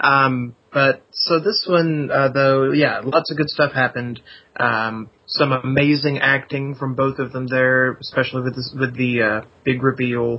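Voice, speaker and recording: Fairly even intonation and a fairly slow delivery in an unremarkable speaking voice. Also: man, medium pitch for a man. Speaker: podcast guest, fan. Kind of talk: casual chat.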